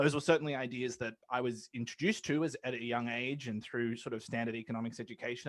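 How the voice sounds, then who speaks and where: This man talks at a very fast pace with an Australian accent. His voice sits at a medium pitch with ordinary pitch variation. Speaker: law academic, money policy advocate. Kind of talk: podcast interview. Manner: hesitant, many fillers and repeats.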